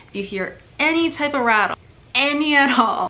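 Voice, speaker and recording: A woman's voice at a moderate pace with ordinary pitch variation. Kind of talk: tutorial. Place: home room. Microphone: phone near.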